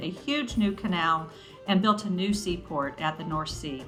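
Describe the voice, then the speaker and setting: At a moderate pace, a woman speaks at medium pitch with ordinary pitch variation, with audible room echo and music in the background. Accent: American. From United States. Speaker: travel video host. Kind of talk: scripted narration.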